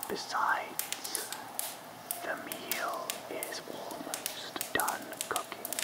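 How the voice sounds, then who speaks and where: Against loud background noise, a soft-spoken voice carries a gentle tone. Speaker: character narrator. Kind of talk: roleplay audio drama. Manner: soft-spoken gentle spooky character voice.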